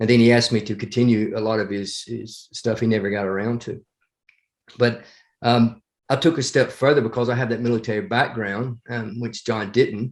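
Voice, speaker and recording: A man with an American accent at a moderate pace, fairly even intonation, quiet background. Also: medium pitch for a man. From US South, northeast Alabama (Appalachian). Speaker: former Marine and battlefield historian. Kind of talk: podcast interview. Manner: hesitant, many fillers.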